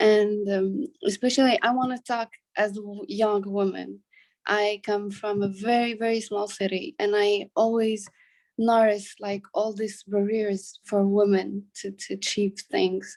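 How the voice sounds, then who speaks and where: Here is a woman with an ordinary speaking voice. She talks at medium pitch and a fairly slow pace, with fairly even intonation. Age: 20s. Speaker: student. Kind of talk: audience question.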